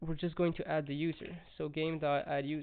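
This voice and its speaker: A man at a moderate pace, with a strong French accent. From France. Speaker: coding tutorial youtuber. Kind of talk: tutorial. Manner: casual, halting with fillers.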